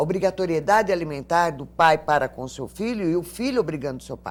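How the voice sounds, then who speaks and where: A woman talks at a moderate pace with lively intonation. Her voice is very deep and low, with vocal fry. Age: 60s. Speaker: lawyer and elder-rights advocate. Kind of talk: TV interview.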